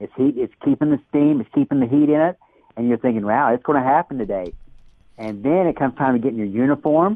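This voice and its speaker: Talking at a very fast pace, a man with a medium-pitched voice uses lively intonation. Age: 60s. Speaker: daredevil rocket builder. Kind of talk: interview.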